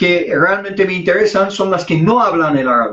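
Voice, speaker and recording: A man with an Arabic accent speaks at a high pitch with ordinary pitch variation. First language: Arabic (speaking Spanish). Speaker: Islamic preacher. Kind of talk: interview conversation.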